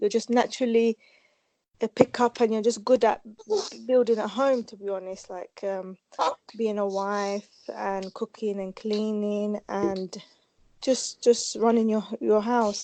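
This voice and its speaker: A woman with a Kurdish accent, a medium pitch, a dark, mellow tone, monotone, flat intonation, a very slow pace and a dry, close sound with no echo. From Kurdistan, northern Iraq. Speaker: hair specialist. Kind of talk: interview.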